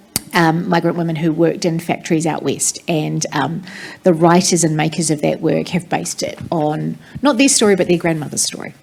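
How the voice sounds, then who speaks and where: A woman with a New Zealand accent over noticeable background noise. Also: ordinary pitch variation, fairly quick pace. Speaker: theatre director. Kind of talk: panel discussion.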